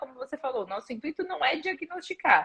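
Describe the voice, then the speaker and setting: A woman with very wide pitch swings at a fairly quick pace. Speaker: physical education professor. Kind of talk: live stream interview. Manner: fast.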